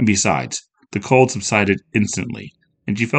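A quiet setting and a plain read-aloud delivery

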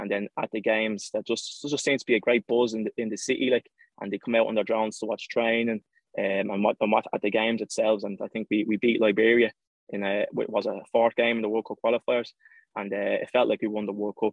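Here a man speaks with an Irish accent at a very fast pace. His intonation is monotone and flat. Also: medium pitch for a man. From Ireland. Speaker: professional footballer. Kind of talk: interview.

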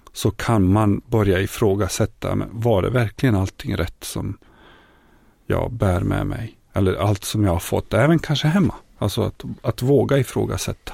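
A man speaks at a moderate pace with a fairly low pitch, ordinary pitch variation and vocal fry. The recording is very clean, with a silent background. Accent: Bosnian. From Bosnia. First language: Bosnian (speaking Swedish). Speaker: folk high school teacher and former refugee. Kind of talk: interview testimony. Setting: studio.

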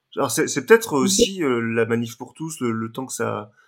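A man speaks at medium pitch and a moderate pace. He has an ordinary speaking voice, in a very clean recording, silent background. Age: 30s. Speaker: adult son of the couple. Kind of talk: interview testimony.

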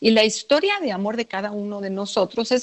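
At a moderate pace, a woman with a normal speaking voice talks at a medium pitch with ordinary pitch variation. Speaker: radio host, psychoanalyst. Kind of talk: radio show chat.

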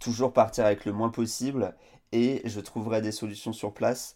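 A man speaks at a fairly slow pace in a fairly low pitch, keeping his intonation fairly even. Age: 30s. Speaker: adventurer, author and speaker. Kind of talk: interview. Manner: halting, many repetitions and fillers.

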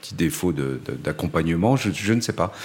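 His pitch rising and falling very widely, a man talks at a moderate speed. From Paris suburbs, France. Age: 50s. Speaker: gallery owner and photographer's agent. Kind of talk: testimony. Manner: halting, with frequent repetitions and hesitations.

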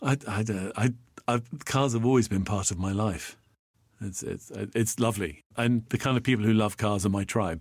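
Man with a British accent, fairly low pitch, ordinary pitch variation, moderate pace. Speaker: podcast co-host and voiceover artist. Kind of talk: casual chat.

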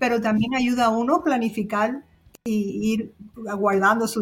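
A woman with a fairly high pitch, fairly even intonation, and a plain, everyday voice. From Cuba. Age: 60s. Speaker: cruise travel agent. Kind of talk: casual chat.

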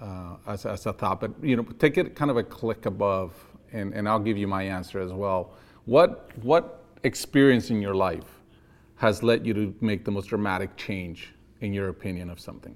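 A man with an American accent and a plain, everyday voice speaks at a moderate pace and a fairly low pitch, with ordinary pitch variation and big swings in loudness. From outside the US. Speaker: podcast host. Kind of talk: interview conversation.

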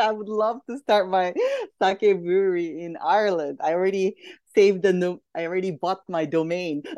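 The speaker talks at a moderate pace with a Japanese accent. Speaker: entrepreneur. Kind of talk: casual chat.

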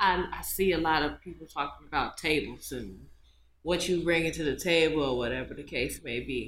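Her pitch is very deep and low, with vocal fry throughout. This woman speaks at a moderate pace with ordinary pitch variation. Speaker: podcast co-host. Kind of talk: casual chat.

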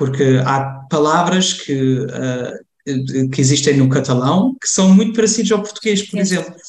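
A man talks with a fairly high pitch. His delivery is moderate in pace, with ordinary pitch variation. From Germany, Cologne, Portuguese parents from Lamego. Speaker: community association member. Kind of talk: interview conversation. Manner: halting, many fillers and repetitions.

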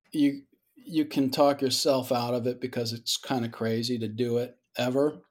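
An ordinary speaking voice with an American accent, moderate pace and fairly even intonation, in a very clean recording with a silent background. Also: man. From Georgia, US South. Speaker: independent filmmaker. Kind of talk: casual interview.

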